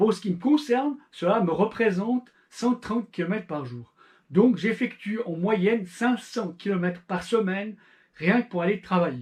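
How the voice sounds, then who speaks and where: A man with a Swiss accent at a fairly slow pace, high in pitch with lively intonation. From Switzerland. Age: 40s. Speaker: amateur endurance cyclist, YouTuber. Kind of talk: channel introduction monologue.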